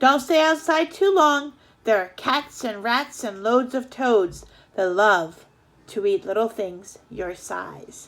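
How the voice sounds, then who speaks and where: A woman puts on a character voice, fairly high in pitch, with very wide pitch swings. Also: fairly slow pace. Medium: read story.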